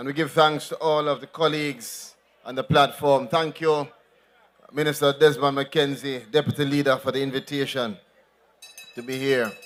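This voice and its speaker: A man with a Jamaican accent speaks at a fairly high pitch, leaving long, frequent pauses. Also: moderate pace. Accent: Jamaican, code-switching to patois. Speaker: politician. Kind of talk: political rally speech. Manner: animated.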